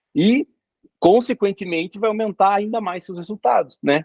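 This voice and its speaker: A man speaks at a moderate pace. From Brazil, interior of Paraná. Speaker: doctor and exam coach. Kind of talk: casual interview chat.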